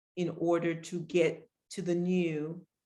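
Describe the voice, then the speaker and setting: This woman has an ordinary speaking voice. She talks at a fairly slow pace with a fairly low pitch. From Pennsylvania, Harrisburg. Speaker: artist. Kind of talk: artist talk.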